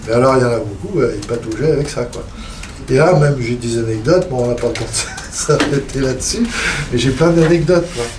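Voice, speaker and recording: A man talks at a moderate pace with ordinary pitch variation, with noticeable background noise and audible room echo. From Poitou, western France. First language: Poitevin (speaking French). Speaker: traditional music collector. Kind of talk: seminar panel discussion.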